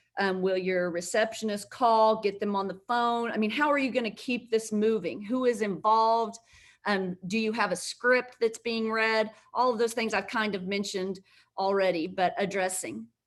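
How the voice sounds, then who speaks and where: At a moderate pace, a woman with a fairly high pitch speaks in an ordinary speaking voice, her intonation fairly even. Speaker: healthcare law presenter. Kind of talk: webinar presentation. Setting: live virtual webinar.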